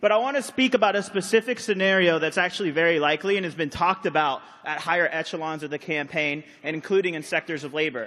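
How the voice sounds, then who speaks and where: Loud and very fast, a man speaks with lively intonation and a bright, sharp tone. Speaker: convention delegate. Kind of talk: floor debate speech.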